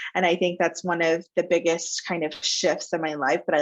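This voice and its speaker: A woman with an American accent talks in an unremarkable speaking voice at a fairly low pitch and a moderate pace. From Texas, Plano (Dallas suburb). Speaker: talent agency founder. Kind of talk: interview.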